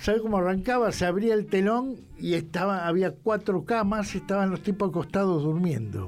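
This man talks in a Rioplatense accent at a high pitch with ordinary pitch variation. His pace is moderate, with hardly any pauses. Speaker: rock journalist and writer. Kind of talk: casual chat.

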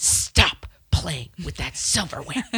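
The speaker puts on a character voice that sounds raspy. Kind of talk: low, stern. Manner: hissing, not yelling.

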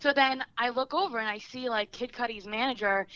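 A woman talks with a New Jersey accent and a bright, sharp tone. Her pitch shows ordinary variation. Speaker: guest. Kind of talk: casual chat, storytelling.

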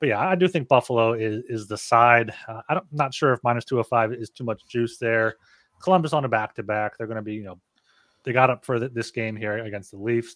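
Recorded dry and close with no echo, a man at medium pitch talks at a fairly quick pace, with ordinary pitch variation and big swings in loudness. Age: 30s. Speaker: sports betting podcast co-host. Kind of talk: casual chat. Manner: halting.

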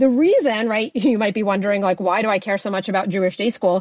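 Talking fast in an American accent, a woman uses a medium pitch, ordinary pitch variation and a slightly mellow tone.

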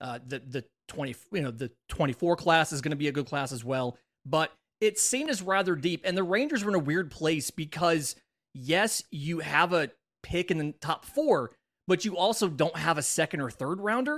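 A man with an ordinary speaking voice, fairly high in pitch, with lively intonation and a dry, close sound with no echo on a very clean, silent recording. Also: moderate pace. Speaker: podcast host. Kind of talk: casual chat, sports podcast.

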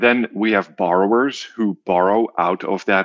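A man with a Dutch accent speaks with fairly even intonation. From Netherlands. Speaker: social finance CEO. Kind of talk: interview.

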